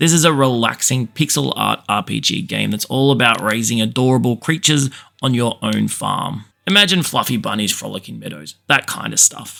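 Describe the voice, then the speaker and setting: The speaker has an Australian accent. The pace is moderate. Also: man. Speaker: gaming YouTuber. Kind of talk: scripted narration.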